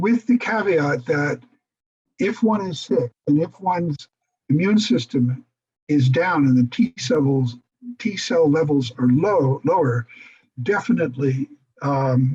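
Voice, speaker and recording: A man talks at a very slow pace, with long, frequent pauses and very wide pitch swings around a fairly high pitch. His voice is somewhat breathy, and the sound is dry and close with no echo. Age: 70s. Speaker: AIDS survivor presenter. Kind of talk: Q&A answers in online forum.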